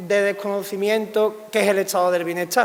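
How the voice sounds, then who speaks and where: A man speaks with a high pitch. Noticeable background noise runs behind him. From Andalusia, Spain. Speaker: political scientist. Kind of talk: public lecture.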